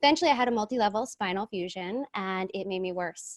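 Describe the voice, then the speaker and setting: A woman with an American accent talks at a very fast pace. The sound is dry and close with no echo, over a quiet background. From New Jersey. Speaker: cannabis nurse and entrepreneur. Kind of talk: podcast interview, personal story.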